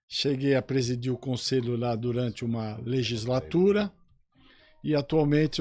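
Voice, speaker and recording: Over music in the background, a man speaks at a fairly slow pace. His pitch is medium, with ordinary pitch variation. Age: 60s. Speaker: police chief and sports club councillor. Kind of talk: radio interview.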